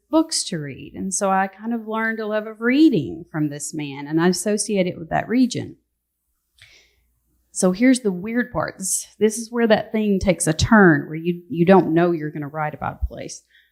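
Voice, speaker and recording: A woman with a Southern accent speaks at a moderate pace with lively intonation and big swings in loudness. The recording is very clean, with a silent background. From US South, North Georgia (Appalachian foothills). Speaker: novelist. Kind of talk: book festival panel discussion.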